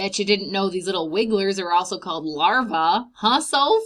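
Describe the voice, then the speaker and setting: A woman uses a put-on character voice at a medium pitch. She speaks at a moderate pace with ordinary pitch variation. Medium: read story. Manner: warm, gentle.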